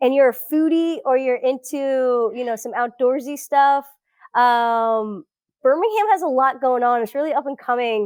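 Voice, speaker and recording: Her voice sits high in pitch. This woman has an American accent. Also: ordinary pitch variation, moderate pace. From South Florida. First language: Portuguese. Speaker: researcher. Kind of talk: interview conversation.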